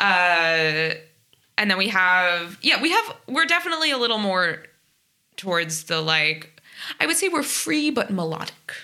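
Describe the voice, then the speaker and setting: Fairly slow, medium-pitched female speech in a New Jersey accent, with very wide pitch swings and very even loudness. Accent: American (New Jersey). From US, New Jersey (South Orange). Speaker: jazz trumpet player. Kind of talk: casual interview.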